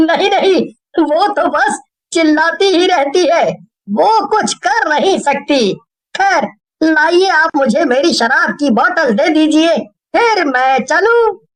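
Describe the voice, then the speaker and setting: The cartoonish character voice is extremely high-pitched and moves at a fairly slow pace. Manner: laughing often, boastful.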